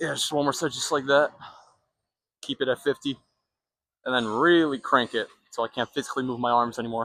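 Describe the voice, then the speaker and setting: At a medium pitch and a fairly quick pace, a man with a bright, sharp tone keeps his intonation fairly even, leaving long, frequent pauses, in a dry, close recording with no echo. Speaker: fitness vlogger. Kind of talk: casual gym vlog talk. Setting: gym. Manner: fast.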